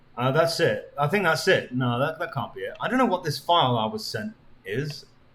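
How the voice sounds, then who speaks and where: A man with a high pitch speaks at a fairly quick pace with lively intonation. Noticeable background noise is present. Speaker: streamer. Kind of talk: live stream chat.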